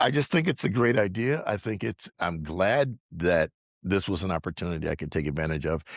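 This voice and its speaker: With lively intonation, a man speaks at a very deep, low pitch in a dry, close sound with no echo. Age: 60s. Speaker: dental implant patient. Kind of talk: interview testimony.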